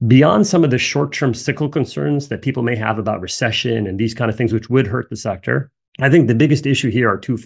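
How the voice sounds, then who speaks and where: Somewhat breathy, a man rushes along at a very fast pace with an American accent. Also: medium pitch for a man, ordinary pitch variation. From US Northeast, New Jersey. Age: 50s. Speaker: energy sector analyst. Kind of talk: casual personal aside; solo video presentation.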